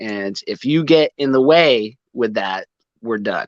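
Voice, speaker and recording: With lively intonation and an animated tone, a man speaks in a dry, close sound with no echo over a quiet background. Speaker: rock band singer, navy veteran. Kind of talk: casual chat.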